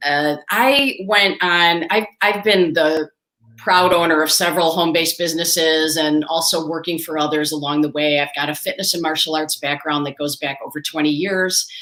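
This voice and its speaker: Here is a woman with a plain, everyday voice and a fairly low pitch. She talks at a moderate pace with ordinary pitch variation and hardly any pauses. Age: 60s. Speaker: entrepreneur and fitness coach. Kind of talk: interview.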